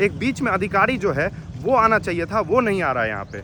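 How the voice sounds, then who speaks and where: With noticeable background noise behind him, a man raises and projects his high-pitched voice at a moderate pace. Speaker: vlogger. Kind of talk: vlog narration. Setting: outdoors at police station.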